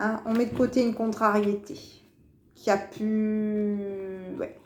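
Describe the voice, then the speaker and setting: A woman speaks at a very slow pace. Her fairly high voice has monotone, flat intonation. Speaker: tarot card reader. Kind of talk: weekly horoscope card reading. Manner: hesitant, repetitive.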